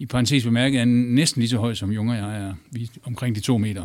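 A man at medium pitch on a very clean recording with a silent background. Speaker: journalist. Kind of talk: panel discussion. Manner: halting, many fillers.

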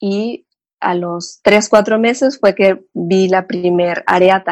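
A woman speaks with a Mexican accent at a medium pitch. The sound is dry and close, with no echo. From Mexico, Cancún. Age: 30s. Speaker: psychotherapist. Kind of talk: interview, personal life story.

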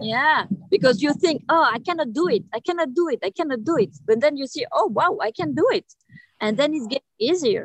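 In a French accent, a woman speaks fairly quickly at a high pitch with very wide pitch swings, in a dry, close sound with no echo. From Reunion Island. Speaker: underwater filmmaker and free diver. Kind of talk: interview. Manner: halting, many fillers.

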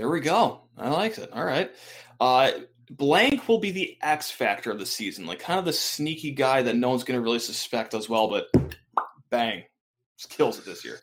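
With vocal fry, a man talks at a moderate pace and medium pitch, his pitch swinging very widely. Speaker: sports podcast host. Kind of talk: casual chat. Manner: animated.

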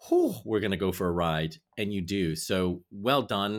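A man with an American accent speaks in a very clean recording against a silent background. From United States. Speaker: podcast host. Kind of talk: scripted introduction; casual interview.

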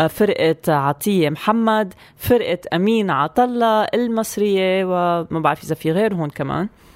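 Speaking at a moderate pace with a plain, everyday voice, a woman keeps a medium pitch and ordinary pitch variation in a dry, close sound with no echo. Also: hardly any pauses. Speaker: radio co-host. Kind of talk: casual radio chat.

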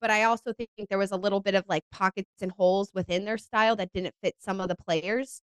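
A woman speaks in an animated tone, with hardly any pauses. The sound is dry and close, with no echo. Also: medium pitch for a woman, fairly quick pace. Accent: American. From North Carolina. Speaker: soccer broadcaster. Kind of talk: casual chat.

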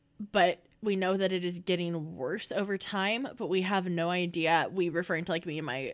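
A woman's unremarkable speaking voice, at a moderate pace with ordinary pitch variation, on a very clean recording with a silent background. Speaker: audio drama creator, guest. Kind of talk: casual interview chat.

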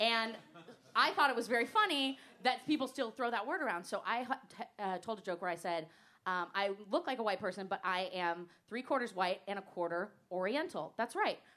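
A woman with a plain, everyday voice, fairly high in pitch, at a fairly quick pace. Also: lively intonation. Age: 30s. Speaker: stand-up comedian. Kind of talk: stand-up. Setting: stage with audience.

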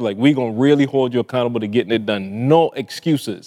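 A man with a Barbadian accent talks fast at medium pitch. His tone is slightly mellow, with ordinary pitch variation. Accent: Caribbean-tinged English, Barbadian.

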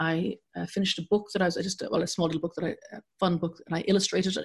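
Speaking at a fairly quick pace with an Irish accent, a woman sounds somewhat breathy, with medium pitch and fairly even intonation. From Ireland. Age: 50s. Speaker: journalist and broadcaster. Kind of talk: interview.

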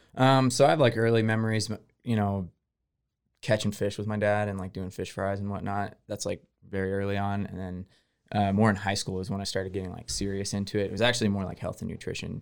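A man with an American accent has a normal speaking voice, fairly low in pitch with fairly even intonation. The recording is very clean, with a silent background. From Texas, Houston. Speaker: barbecue restaurant owner. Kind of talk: interview.

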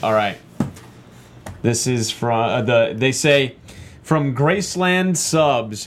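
A man with an American accent at a very slow pace, lively intonation, long and frequent pauses, very even loudness, and noticeable background noise. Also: medium pitch for a man. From Texas. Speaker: actor and panel guest. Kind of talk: casual panel chat.

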